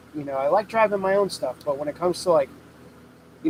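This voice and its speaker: A man speaks with an American accent. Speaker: welder and fabricator, channel owner. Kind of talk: livestream Q&A with chat. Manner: loud, talking over heater.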